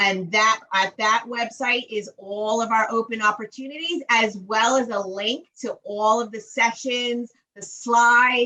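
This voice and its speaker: A woman's normal speaking voice, a fairly slow pace, fairly high pitch, fairly even intonation, and hardly any pauses. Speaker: webinar host for construction firm. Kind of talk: online webinar Q&A.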